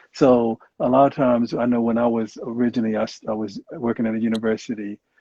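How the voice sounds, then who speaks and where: This man talks at a very fast pace with a Southern US accent, his intonation monotone and flat. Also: medium pitch for a man. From US South. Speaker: clinical psychologist and Marine veteran. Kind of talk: interview. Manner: hesitant, many fillers.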